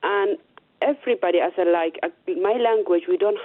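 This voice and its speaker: A woman with a Somali accent. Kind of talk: radio interview. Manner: halting.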